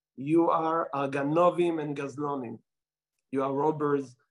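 A man with an Israeli accent speaks at a fairly high pitch. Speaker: rabbi. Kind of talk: talk to an audience, storytelling. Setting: Melbourne, Australia. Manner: halting, with fillers.

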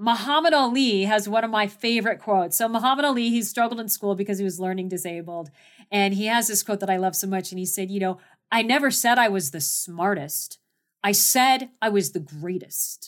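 A plain, everyday voice with a General American accent, ordinary pitch variation and a fairly quick pace, in a very clean recording over a silent background. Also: woman, medium pitch for a woman. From US Southwest, Phoenix, Arizona. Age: 50s. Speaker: mountaineer and leadership speaker. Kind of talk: interview.

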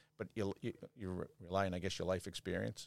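A very deep, low-pitched man's voice in a Boston accent at a fairly quick pace, with a dry, close sound, no echo, and a very clean recording over a silent background. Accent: Boston, Massachusetts. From Quincy, Massachusetts. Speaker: police lieutenant. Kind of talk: casual interview.

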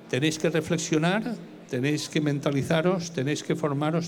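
Audible room echo surrounds a man speaking at a moderate pace. His pitch is fairly high, with ordinary variation. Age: 60s. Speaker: fund analyst. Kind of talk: lecture.

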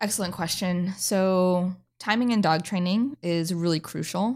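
A woman with an American accent has an ordinary speaking voice at medium pitch with ordinary pitch variation. She speaks at a fairly slow pace on a very clean recording with a silent background. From North Idaho, US. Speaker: dog trainer and podcast host. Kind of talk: podcast chat and explanation.

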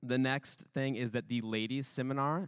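The recording is very clean and the background silent. The talking goes at a moderate pace. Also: man. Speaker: announcements host. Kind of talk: announcements. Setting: church.

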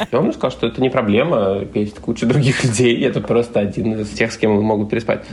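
With ordinary pitch variation and a medium pitch, a man's voice comes through noticeable background noise. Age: 30s. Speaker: caller. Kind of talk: testimony.

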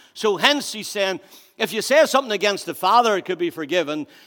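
With a Northern Irish accent, a man speaks very fast at a high pitch, with lively intonation and a bright, sharp tone. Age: 50s. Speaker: pastor. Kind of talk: sermon. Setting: church.

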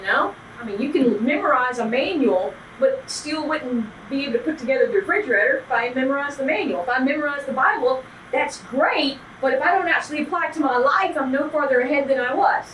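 Noticeable background noise sits under this recording. A woman talks very fast in a high voice. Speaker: Bible study teacher. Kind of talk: workshop participant discussion.

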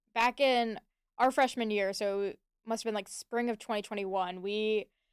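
A woman talks in an ordinary speaking voice, fairly high in pitch with fairly even intonation. The very clean recording has a silent background and a dry, close sound with no echo. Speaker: student organization co-founder. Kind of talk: radio interview.

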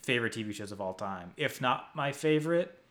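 A man speaks with an American accent and lively intonation. He has an ordinary speaking voice. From US, New Jersey. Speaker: podcast host and site editor. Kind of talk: casual chat.

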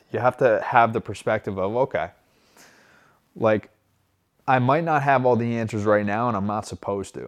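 Moderate pace and ordinary pitch variation from a man, quiet background. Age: 30s. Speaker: recovery podcast host. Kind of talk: motivational monologue. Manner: casual, repetitive with many fillers.

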